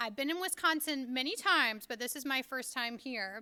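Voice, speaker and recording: A woman projects a raised, high-pitched voice, bright and sharp in tone. She keeps a moderate pace with lively intonation. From Kentucky, rural Appalachia. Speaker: author and education speaker. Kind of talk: lecture.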